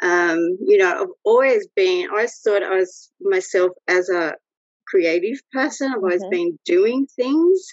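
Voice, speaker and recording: With an Australian accent, a woman speaks at a fairly slow pace in a fairly high pitch, making very wide pitch swings. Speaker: photographer. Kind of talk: casual interview.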